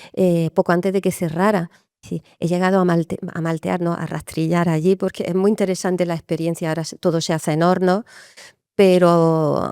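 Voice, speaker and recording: A woman speaks with a fairly low pitch, a dark, mellow tone and monotone, flat intonation. The recording is very clean with a silent background and a dry, close sound with no echo. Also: moderate pace. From Spain. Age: 50s. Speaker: brewer and distiller. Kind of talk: interview.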